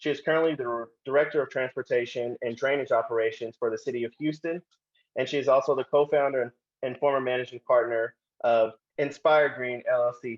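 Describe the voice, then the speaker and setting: A man with an American accent talks fairly quickly in a plain, everyday voice, fairly high in pitch and fairly even in intonation. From Oklahoma, Tulsa. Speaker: panel moderator. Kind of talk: panel introduction.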